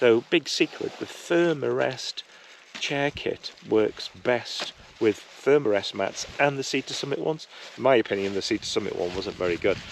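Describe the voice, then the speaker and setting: Moderately paced male speech over noticeable background noise. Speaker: outdoor gear reviewer. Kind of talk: casual vlog review. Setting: outdoors, wild camp on hill.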